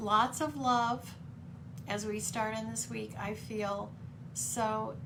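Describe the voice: A woman at medium pitch with vocal fry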